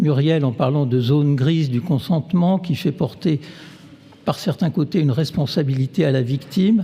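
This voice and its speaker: Amid noticeable background noise, a man speaks in a fairly high pitch at a moderate pace with ordinary pitch variation. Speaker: neuroscientist. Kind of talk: lecture. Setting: stage with audience. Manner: halting, many fillers.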